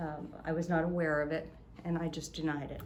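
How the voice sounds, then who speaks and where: A somewhat breathy woman at a moderate pace and fairly low pitch, with audible room echo. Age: 70s. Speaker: innkeeper. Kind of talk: storytelling in casual chat. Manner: animated.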